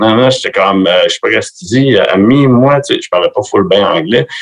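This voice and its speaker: A man with a Quebec accent speaks at a moderate pace. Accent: Québécois. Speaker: metal musician. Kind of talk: casual chat. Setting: video call.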